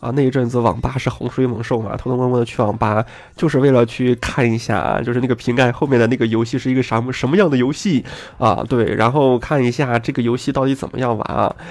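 His voice sits at a medium pitch. He talks at a very fast pace. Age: 30s. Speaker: gaming podcaster. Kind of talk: casual monologue. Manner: animated.

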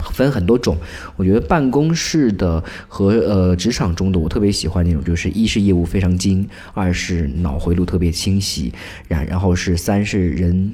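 A man speaks at a moderate pace in a very deep, low pitch with ordinary pitch variation. Noticeable background noise runs underneath. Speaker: public institution employee writing news. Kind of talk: casual chat. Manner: animated.

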